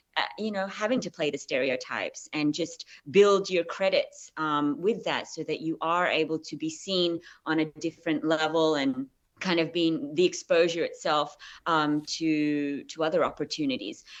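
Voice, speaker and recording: Against a quiet background, a woman speaks with an Australian accent. Her pitch is fairly low with ordinary variation, and her pace is moderate. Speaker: actress. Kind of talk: interview. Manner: hesitant.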